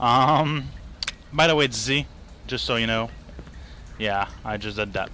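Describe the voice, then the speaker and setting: A man with a Quebec accent talks at a fairly slow pace and fairly low pitch. Noticeable background noise can be heard. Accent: French Canadian accent in English. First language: French. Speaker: gaming video creator. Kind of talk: gameplay commentary. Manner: halting.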